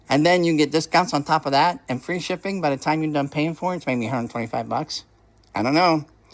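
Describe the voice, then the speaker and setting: Talking at a very fast pace, a man uses a fairly high pitch. His pitch variation is ordinary, and the background is quiet. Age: 60s. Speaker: hobby vlogger, toy brick builder. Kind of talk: casual video update. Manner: rambling, hesitant with fillers.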